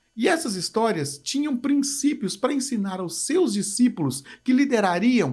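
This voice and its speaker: Lively intonation runs through this man's speech in a Minas Gerais accent. He has an extremely high pitch and a fairly slow pace. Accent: mineiro Brazilian Portuguese. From Brazil, interior of Minas Gerais (Manhuaçu). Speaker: pastor. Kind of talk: leadership teaching talk.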